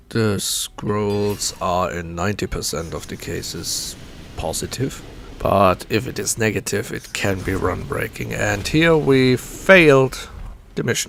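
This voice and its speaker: Amid noticeable background noise, a man speaks at a fairly slow pace. His pitch is fairly low and his intonation lively. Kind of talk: casual gameplay commentary. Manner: soft-spoken.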